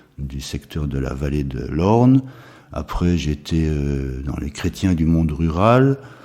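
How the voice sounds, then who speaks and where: A man's very deep, low voice at a very slow pace, with ordinary pitch variation and noticeable background noise. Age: 70s. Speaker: retired school headmaster, charity president. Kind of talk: interview. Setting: charity premises.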